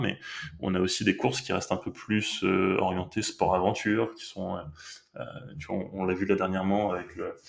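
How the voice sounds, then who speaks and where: Noticeable background noise behind a fairly low-pitched man's voice at a moderate pace. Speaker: sailing skipper, company manager. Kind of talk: podcast interview answer.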